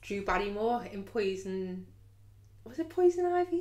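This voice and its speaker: A woman with a Liverpool accent and very wide pitch swings. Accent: Scouse. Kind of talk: casual story time to camera. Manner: chatty, humorous.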